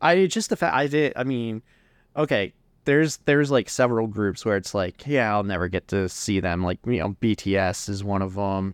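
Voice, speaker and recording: A normal speaking voice from a man, fairly low in pitch, with lively intonation at a moderate pace, in a dry, close sound with no echo and a quiet background. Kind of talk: casual chat.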